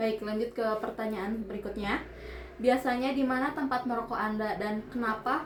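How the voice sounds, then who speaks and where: A woman speaks at a moderate pace, keeping her intonation fairly even. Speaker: university student interviewer. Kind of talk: student interview assignment. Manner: halting.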